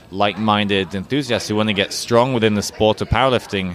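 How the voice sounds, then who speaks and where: Noticeable background noise accompanies a man with a fairly low pitch. He talks at a fairly quick pace with fairly even intonation. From southwest Norway. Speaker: naprapath and strength coach. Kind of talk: interview. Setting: fitness conference.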